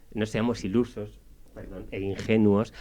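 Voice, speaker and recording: Over a quiet background, a man with a Spanish accent speaks at a fairly low pitch with fairly even intonation. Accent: Spanish (Spain). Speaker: radio columnist. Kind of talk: radio interview discussion.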